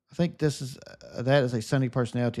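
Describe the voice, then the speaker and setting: A man talking at a very fast pace in a Southern US accent, on a very clean recording with a silent background. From US South. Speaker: gaming streamer. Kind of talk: live stream chat. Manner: upbeat, positive energy.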